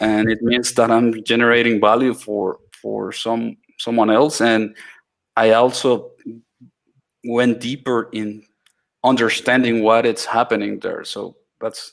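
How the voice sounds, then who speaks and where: A man with a Spanish accent, talking fairly slowly in a flat monotone with long, frequent pauses. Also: medium pitch for a man. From Latin America. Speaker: iOS developer. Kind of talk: mentoring Q&A. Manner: halting, many fillers and restarts.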